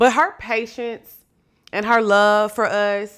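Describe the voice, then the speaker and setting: A woman speaks loudly at a medium pitch in an animated, bright, sharp tone. The recording is very clean, with a silent background. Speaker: podcast host. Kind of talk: casual commentary.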